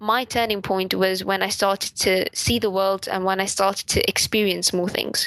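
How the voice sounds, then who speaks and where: A woman speaks at a medium pitch in an angry tone. The sound is dry and close, with no echo. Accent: British. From raised in Europe by Indian family. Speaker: podcast co-host. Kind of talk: casual chat. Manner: sometimes sounds angry.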